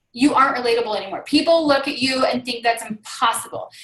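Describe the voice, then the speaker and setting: In a raised, projected voice, a woman speaks at a high pitch and a fairly quick pace. Her tone is animated and her intonation lively. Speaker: fitness business coach. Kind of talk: team training call. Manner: fast.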